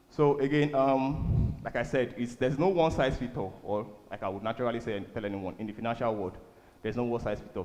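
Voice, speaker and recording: Audible room echo follows a man talking at a very fast pace. His voice sits at a medium pitch with ordinary pitch variation. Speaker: church speaker on finance. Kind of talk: sermon.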